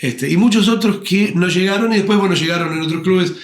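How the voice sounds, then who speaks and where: The speaker is a man. His words come out very fast. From Argentina, Buenos Aires conurbano (Avellaneda area). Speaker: tango and rock singer, actor. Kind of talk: interview conversation.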